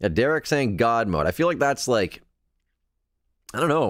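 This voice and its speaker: A man's pitch swings very widely as he talks at a fairly quick pace. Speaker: podcast host. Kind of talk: live podcast chat reading viewer comments. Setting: live stream. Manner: casual, hesitant with fillers.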